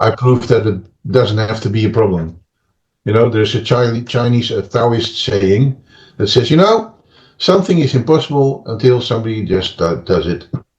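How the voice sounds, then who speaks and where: A man with a somewhat breathy voice, medium pitch, lively intonation, and a moderate pace. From Netherlands. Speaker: therapist and author. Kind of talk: interview. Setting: podcast interview. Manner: hesitant, many fillers and restarts.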